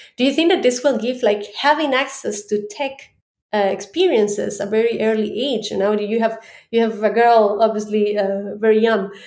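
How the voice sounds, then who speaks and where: With audible room echo, a woman speaks at a fairly high pitch and ordinary pitch variation. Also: moderate pace. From Ecuador. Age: 30s. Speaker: head of data. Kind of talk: interview conversation. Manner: halting.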